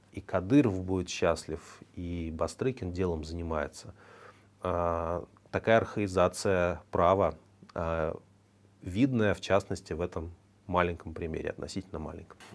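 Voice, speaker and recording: With a very deep, low pitch and ordinary pitch variation, a man speaks at a fairly slow pace, with big swings in loudness and long, frequent pauses. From Russia. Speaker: news commentary host. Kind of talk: news commentary monologue. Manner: conversational, with filler hesitations. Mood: ironic, critical. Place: studio.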